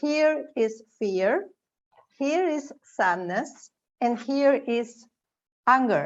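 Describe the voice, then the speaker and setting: Speaking in a Spanish accent, a woman has a high pitch. She goes at a very slow pace with long, frequent pauses. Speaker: educator and theater organization founder. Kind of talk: panel discussion. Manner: halting.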